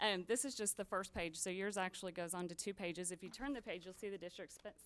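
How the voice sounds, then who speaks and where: A woman is speaking at a medium pitch. The variation in her pitch is ordinary. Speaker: auditor. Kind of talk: formal presentation. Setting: school board meeting. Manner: fast.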